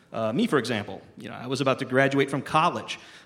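This man has a normal speaking voice set at a fairly high pitch. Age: 40s. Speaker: cartoonist and film reviewer. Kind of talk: reading aloud.

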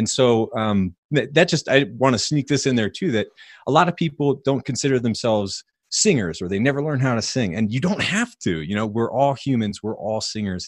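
In a very clean recording with a silent background, a man talks at a fairly quick pace with lively intonation. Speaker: health podcaster and author. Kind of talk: casual interview.

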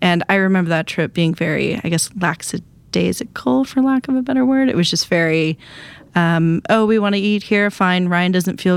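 A woman with an American accent speaks at a moderate pace, her pitch fairly low. She has a normal speaking voice with very even loudness. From Wisconsin. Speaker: author. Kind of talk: casual chat.

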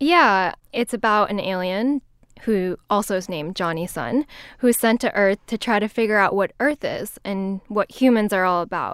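A woman with a plain, everyday voice speaks at medium pitch in a very clean recording with a silent background. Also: ordinary pitch variation, moderate pace. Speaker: radio colleague, writer. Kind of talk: casual chat. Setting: studio.

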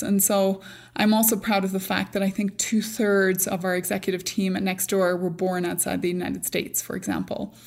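This woman has an American accent, a medium pitch and fairly even intonation, speaking at a fairly quick pace. The recording is very clean, with a silent background. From Northern Ireland. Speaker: tech company CEO. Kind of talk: interview.

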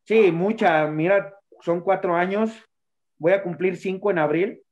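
A man with an unremarkable speaking voice talks at a moderate pace, his pitch varying in an ordinary way. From Mexico, Tlaxcala. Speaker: professional wrestler. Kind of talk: interview.

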